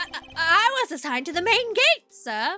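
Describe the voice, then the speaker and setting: Using a put-on character voice, a woman speaks loudly at a moderate pace, the sound dry and close with no echo. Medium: game stream. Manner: loud, excitable, ends sentences with sir.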